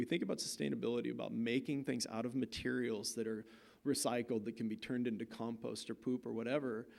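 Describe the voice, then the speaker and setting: A man with an American accent speaks at a very fast pace and a medium pitch. His voice has vocal fry and ordinary pitch variation. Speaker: visiting artist. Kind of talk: lecture. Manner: casual, halting.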